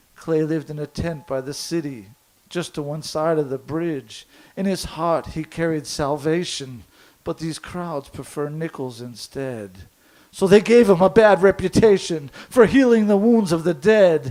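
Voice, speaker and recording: With a dark, mellow tone and a fairly high pitch, a man speaks at a fairly slow pace with big swings in loudness. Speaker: slam poet. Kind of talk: poetry slam performance. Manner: lyrical, rhythmic rhyming delivery.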